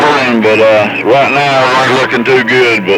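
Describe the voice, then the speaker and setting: The speech moves at a moderate pace with ordinary pitch variation, set against noticeable background noise and audible room echo. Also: man. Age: 70s. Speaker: CB radio operator. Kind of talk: casual chat over CB radio. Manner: halting, many fillers.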